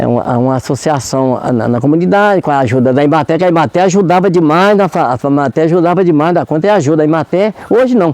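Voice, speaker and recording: With lively intonation and hardly any pauses, a man rushes along at a very fast pace in a fairly high voice. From Brazil, Minas Gerais countryside. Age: 70s. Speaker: community leader and farmer. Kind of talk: interview. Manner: halting.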